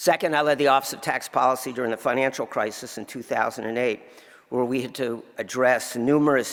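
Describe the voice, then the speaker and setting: With an American accent, a man in a plain, everyday voice talks at a fairly quick pace, keeping a medium pitch and fairly even intonation. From New Jersey. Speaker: tax lawyer. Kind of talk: award acceptance speech.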